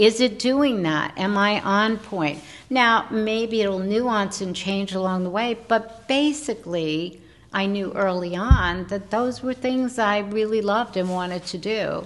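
A woman's ordinary speaking voice, medium in pitch with ordinary pitch variation, at a fairly slow pace. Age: 60s. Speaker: podcast host and wellness entrepreneur. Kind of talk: casual chat.

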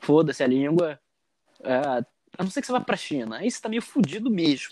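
Against a silent background in a very clean recording, a man speaks at a fairly high pitch. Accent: Carioca. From Rio de Janeiro, Brazil. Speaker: former exchange student. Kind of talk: casual chat.

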